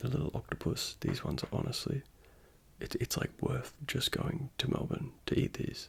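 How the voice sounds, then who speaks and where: Someone whispers at a moderate pace. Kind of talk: ASMR; casual vlog narration. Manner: soft-spoken.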